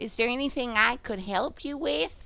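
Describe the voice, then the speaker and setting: A woman puts on a character voice pitched high. She keeps a moderate pace. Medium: game stream. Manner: quirky, eccentric.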